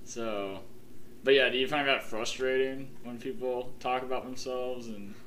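A man with an American accent and medium pitch talks at a moderate pace in a monotone, flat intonation, with audible room echo and noticeable background noise. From Ohio, Columbus. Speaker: podcast host. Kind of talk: casual chat.

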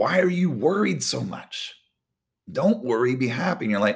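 This man talks at a moderate pace in a medium pitch with vocal fry. His pitch swings very widely, and the recording is very clean with a silent background. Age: 40s. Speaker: volleyball coach giving devotionals. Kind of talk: devotional talk. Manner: casual, conversational with fillers.

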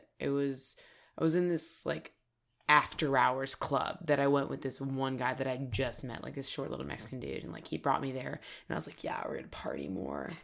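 The speaker talks at a moderate pace with vocal fry. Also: woman. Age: 30s. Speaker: actress and military veteran. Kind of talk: casual chat.

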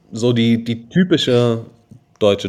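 Lively intonation carries this very slow-paced speech. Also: man. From Germany, Darmstadt (Hesse). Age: 20s. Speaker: edtech founder. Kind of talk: podcast interview.

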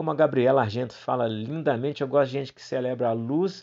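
With a normal speaking voice at medium pitch, a man talks at a moderate pace with lively intonation. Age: 40s. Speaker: clown and theatre teacher. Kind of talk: unscripted solo podcast monologue.

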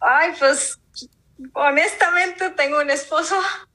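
A woman uses a raised, projected voice. Her tone is bright and sharp. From Mexico, Monterrey. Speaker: podcast host guest. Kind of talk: interview testimony.

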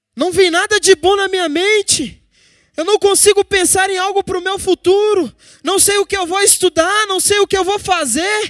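In a dry, close sound with no echo, a man with an extremely high pitch speaks at a moderate pace with fairly even intonation. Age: 20s. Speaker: preacher. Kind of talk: sermon.

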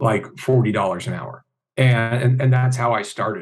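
A man speaks at a medium pitch, somewhat breathy. His intonation stays fairly even. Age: 40s. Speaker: hypnotist and convention organizer. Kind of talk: casual chat.

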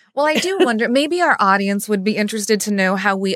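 With an American accent, a woman speaks at a medium pitch with lively intonation in a plain, everyday voice. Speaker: podcast host, lawyer, bar association president. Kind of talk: interview conversation.

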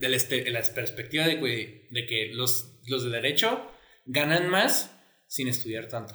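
A man speaks at a medium pitch with a bright, sharp tone. He goes at a fairly slow pace, and room echo is audible. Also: ordinary pitch variation. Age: 20s. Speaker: podcast co-host. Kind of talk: casual chat.

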